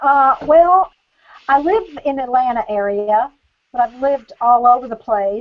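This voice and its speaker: The speaker has a Southern US accent, a fairly slow pace and lively intonation. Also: woman, high pitch for a woman. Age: old. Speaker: artist's fan and viewer. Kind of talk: casual chat.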